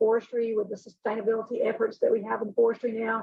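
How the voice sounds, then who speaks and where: Very fast and flat in monotone, a woman speaks at a fairly high pitch. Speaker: HR director. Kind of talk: video call roundtable.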